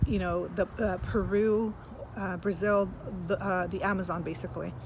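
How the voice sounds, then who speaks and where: Using vocal fry, a woman talks at a moderate pace with a medium pitch. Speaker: spiritual channeler. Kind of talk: spiritual channeled message monologue. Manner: halting, with many fillers.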